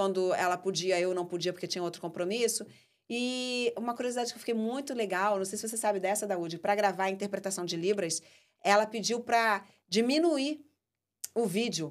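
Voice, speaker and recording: A woman at a medium pitch talks at a fairly quick pace with ordinary pitch variation, recorded very cleanly against a silent background. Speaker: podcast host and filmmaker. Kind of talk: casual chat. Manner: fast.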